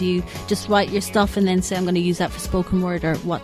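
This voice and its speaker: A woman speaks with music in the background. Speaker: radio interviewer / presenter. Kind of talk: radio interview.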